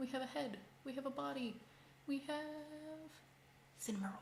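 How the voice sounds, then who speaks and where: A soft-spoken woman talks at a moderate pace, her pitch swinging very widely. Noticeable background noise runs behind her. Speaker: crochet content creator. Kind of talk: casual craft livestream tutorial. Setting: livestream at home.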